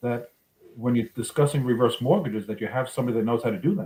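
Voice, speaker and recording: With a New York accent, a man speaks at a medium pitch in a somewhat breathy voice. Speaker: reverse mortgage loan officer. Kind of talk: casual interview.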